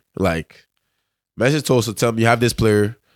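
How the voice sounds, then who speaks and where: A man speaks with a fairly low pitch and fairly even intonation. The recording is very clean, against a silent background. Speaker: pro soccer player. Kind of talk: casual interview chat.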